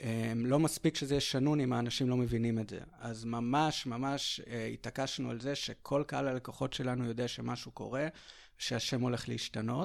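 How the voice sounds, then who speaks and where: A man with a normal speaking voice talks at a moderate pace and a medium pitch, with fairly even intonation, in a very clean recording with a silent background. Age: 30s. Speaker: marketing executive and business co-owner. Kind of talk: interview. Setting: at home.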